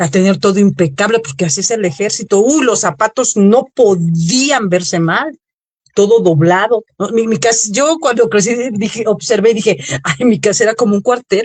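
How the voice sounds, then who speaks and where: A woman's ordinary speaking voice, medium in pitch, with lively intonation at a moderate pace. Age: 50s. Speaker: holistic therapist. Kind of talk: radio interview.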